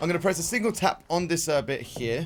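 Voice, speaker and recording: Loud and at a fairly quick pace, a man speaks in a fairly high pitch. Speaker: streamer. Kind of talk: live gameplay commentary. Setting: live stream.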